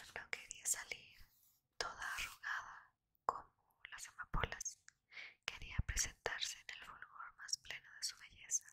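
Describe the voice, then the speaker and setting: A woman whispering at a fairly slow pace. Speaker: ASMR reader. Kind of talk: read story. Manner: whispered. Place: home room. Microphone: studio mic.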